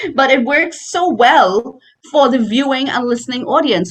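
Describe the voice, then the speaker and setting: This voice has an animated tone with a Trinidadian accent. It moves at a moderate pace. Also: woman. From Trinidad and Tobago. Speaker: voice coach and voice artist. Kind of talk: casual interview.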